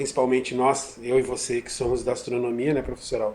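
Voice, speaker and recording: Over noticeable background noise, a man with a strong gaúcho accent speaks at a medium pitch with fairly even intonation. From southern Brazil, Rio Grande do Sul. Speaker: physics professor. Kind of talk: interview. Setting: video call from home kitchen.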